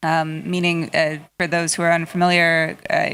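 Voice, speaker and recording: On a very clean recording with a silent background, a woman speaks in a normal speaking voice with a fairly low pitch. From United States. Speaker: audience member. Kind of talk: audience question.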